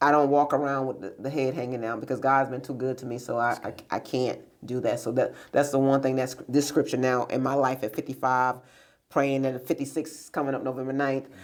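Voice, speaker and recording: A woman with a very deep, low pitch speaks at a fairly quick pace in an American accent. Her intonation stays monotone and flat while her loudness swings widely. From New York, then raised by grandparents. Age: 50s. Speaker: business owner and director. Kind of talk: interview conversation. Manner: hesitant, many fillers.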